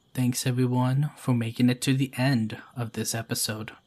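This man's voice sits at a medium pitch and is somewhat breathy. His intonation stays monotone and flat. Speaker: YouTube storyteller narrating listener-submitted ghost stories. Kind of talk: scripted narration reading ghost stories aloud.

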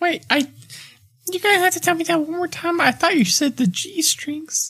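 In a put-on character voice, a man sounds squeaky at an extremely high pitch. The pace is fairly slow. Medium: actual play. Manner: friendly, easygoing.

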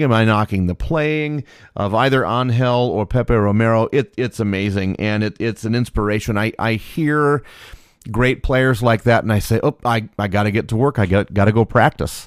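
In a very clean recording with a silent background, a man with a plain, everyday voice speaks at a moderate pace in a medium pitch with ordinary pitch variation. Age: 40s. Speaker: podcast host. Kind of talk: reading aloud; casual commentary.

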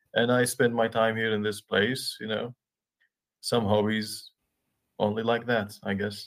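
A man speaks at a medium pitch and a fairly slow pace. His intonation is monotone and flat, broken by long, frequent pauses. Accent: Arabic. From Iraq. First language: Arabic. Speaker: livestream guest. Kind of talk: casual chat. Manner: halting.

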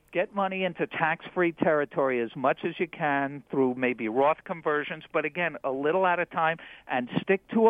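This man has an ordinary speaking voice and a fairly high pitch. He keeps a moderate pace with ordinary pitch variation. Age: 60s. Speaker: retirement finance expert. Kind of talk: interview. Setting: studio.

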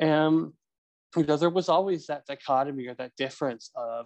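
A man with a normal speaking voice talks at a moderate pace with fairly even intonation, in a dry, close sound with no echo and a quiet background. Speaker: nonprofit founder, law graduate. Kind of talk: interview conversation.

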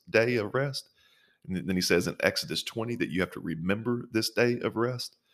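At a fairly quick pace, a man uses an ordinary speaking voice at a medium pitch with ordinary pitch variation, on a very clean recording over a silent background. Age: 30s. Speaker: pastor. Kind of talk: interview.

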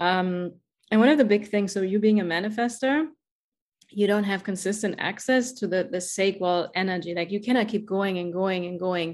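A woman with a German accent speaks in an enthusiastic tone at a moderate pace, her medium pitch showing ordinary variation against a quiet background. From Germany. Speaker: podcast host, life coach. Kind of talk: interview conversation. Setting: video call.

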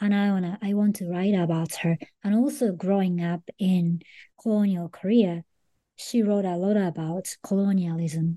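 A woman speaks at a moderate pace with fairly low pitch and a dark, mellow tone. Her intonation stays fairly even.

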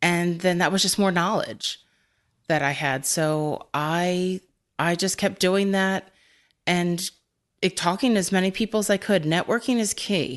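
Medium-pitched with ordinary pitch variation, a woman speaks in an unremarkable speaking voice at a fairly slow pace and very even loudness. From Philadelphia, US. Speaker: cybersecurity analyst, former librarian. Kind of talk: interview.

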